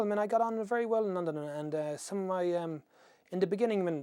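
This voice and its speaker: A man's dark, mellow tone, lively intonation and very fast pace. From Ireland, near Shannon. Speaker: interviewee in oral history project. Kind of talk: oral history interview. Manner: halting, many false starts.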